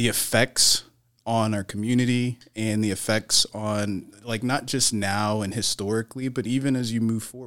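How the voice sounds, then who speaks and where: This man has a plain, everyday voice with a fairly low pitch. He speaks at a fairly slow pace on a very clean recording with a silent background. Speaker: business owner. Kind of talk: casual chat.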